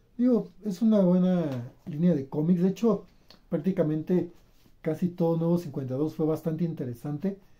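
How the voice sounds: A man speaks at a moderate pace. His pitch shows ordinary variation. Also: fairly high pitch for a man.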